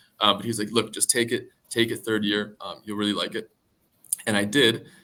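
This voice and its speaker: A loud man with an American accent, a medium pitch, a bright, sharp tone and monotone, flat intonation. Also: moderate pace. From US Northeast, Connecticut. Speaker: junior business analyst. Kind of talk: interview.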